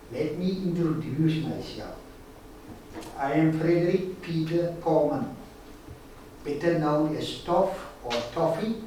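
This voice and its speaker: Over noticeable background noise and audible room echo, a man talks at a fairly slow pace and fairly high pitch, with ordinary pitch variation and long, frequent pauses. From South Africa, Stellenbosch. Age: 70s. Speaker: guest speaker, victim of forced removals. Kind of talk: prepared talk to students.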